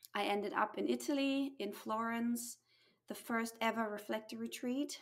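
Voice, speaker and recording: Here a woman speaks at a fairly high pitch. She uses ordinary pitch variation. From USA and Germany. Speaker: human design guide and mentor. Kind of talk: casual interview chat.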